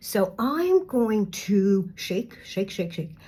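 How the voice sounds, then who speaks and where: With lively intonation, a woman talks at a medium pitch in a somewhat breathy voice. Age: 60s. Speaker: beauty vlogger. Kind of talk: makeup tutorial. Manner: casual, halting with fillers.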